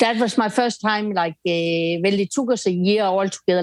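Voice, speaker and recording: A woman with a slight Danish accent talks at a moderate pace and medium pitch, the sound dry and close with no echo. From Denmark. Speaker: bereaved mother and anti-bullying campaigner. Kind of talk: interview.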